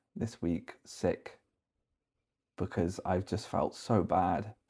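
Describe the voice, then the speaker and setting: A man with a British accent speaks very slowly in a very deep, low pitch and a dark, mellow tone. His intonation is monotone and flat, on a very clean recording with a silent background. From UK. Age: 30s. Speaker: vlogger. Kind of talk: personal vlog confession. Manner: halting, repeating words.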